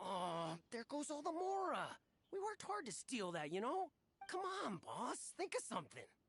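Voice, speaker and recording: A high-pitched put-on character voice speaks at a moderate pace with very wide pitch swings. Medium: video game.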